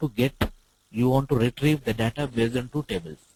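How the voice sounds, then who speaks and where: Speaking in an Indian accent at a moderate pace, a man has a medium pitch, ordinary pitch variation and a somewhat breathy voice. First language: Telugu. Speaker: IT trainer. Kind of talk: online tutorial class. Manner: hesitant, many fillers.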